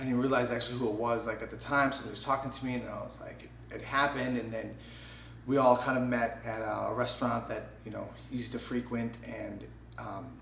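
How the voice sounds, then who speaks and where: With an American accent, a man talks at a very fast pace with big swings in loudness, over noticeable background noise and audible room echo. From Chicago, Illinois. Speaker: choreographer. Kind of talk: casual chat.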